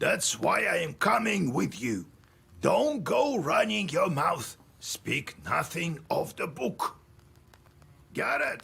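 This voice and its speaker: A raspy, put-on character voice from a man, high-pitched, at a very slow pace with long, frequent pauses. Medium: video game. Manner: stern, gruff.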